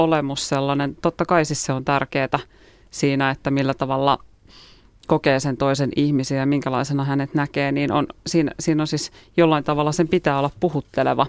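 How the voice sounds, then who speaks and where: A woman with a very deep, low pitch, fairly even intonation and a moderate pace. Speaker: guest. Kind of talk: radio interview. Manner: hesitant, many fillers.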